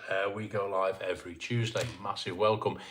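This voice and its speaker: The man keeps a moderate pace while noticeable background noise plays behind him. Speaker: YouTuber live-stream host. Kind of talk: casual live-stream chat. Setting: live stream at home, dim lighting.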